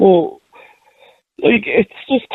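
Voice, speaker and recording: The pace of this woman's speech is very slow. Her pitch variation is ordinary. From Dublin, Ireland. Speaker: caller. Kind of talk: casual chat. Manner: halting.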